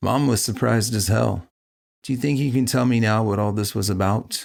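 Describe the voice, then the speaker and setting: A man puts on a raspy character voice at a medium pitch and a fairly quick pace. His intonation is fairly even and his loudness very even. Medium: audio drama.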